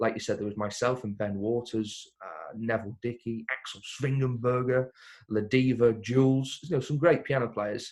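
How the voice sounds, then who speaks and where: On a very clean recording with a silent background, a man with an English accent keeps his intonation fairly even. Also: medium pitch for a man, moderate pace. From Crewe, England. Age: 20s. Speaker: singer-pianist. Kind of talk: interview answer. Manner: casual, chatty.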